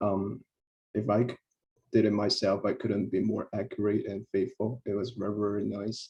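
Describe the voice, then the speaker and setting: A man's fairly low, dark, mellow voice, somewhat breathy, at a moderate pace, in a flat monotone. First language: not English. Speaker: researcher, co-author. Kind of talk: memorial tribute. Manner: hesitant, many fillers.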